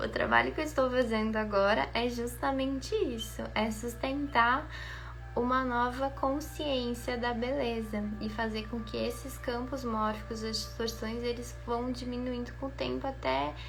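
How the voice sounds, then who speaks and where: Soft-spoken and fairly slow, a woman talks with audible room echo and noticeable background noise around her. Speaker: spiritual beauty coach. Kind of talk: guided meditation; casual chat.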